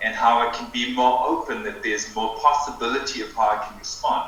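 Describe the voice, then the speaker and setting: Speaking at a fairly slow pace, a man is heard with audible room echo and noticeable background noise. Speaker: breathwork teacher. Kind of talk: interview conversation. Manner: slow, with pauses.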